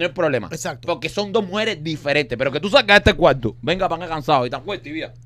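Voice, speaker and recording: A man's high, bright, sharp voice, animated and very fast, with lively intonation. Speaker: comedy podcast co-host. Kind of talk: casual comedic chat.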